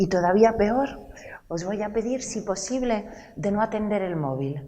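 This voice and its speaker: Through noticeable background noise, a woman's fairly high voice moves at a fairly slow pace with very wide pitch swings. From Italy, Rome. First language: Italian (speaking Spanish). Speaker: lecturer and storyteller. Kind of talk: cultural talk to a live audience.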